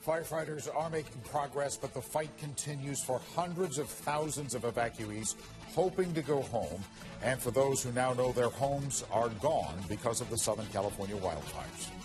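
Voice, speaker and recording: A man's medium-pitched voice at a moderate pace, with lively intonation and music in the background. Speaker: news anchor. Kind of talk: TV news read.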